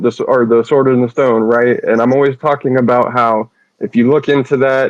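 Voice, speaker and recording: A man with an American accent and an ordinary speaking voice, medium in pitch, at a moderate pace with fairly even intonation. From Carolinas, US South. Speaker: audience participant. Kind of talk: casual chat. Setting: online audio space.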